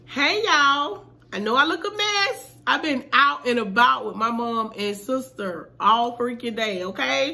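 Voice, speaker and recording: Her pitch is high, and this woman speaks at a fairly slow pace. Her pitch swings very widely. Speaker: vlogger. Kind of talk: casual vlog chat. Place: home room. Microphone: phone near.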